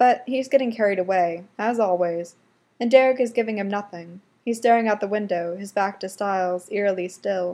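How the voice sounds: A natural reading voice moves with ordinary pitch variation.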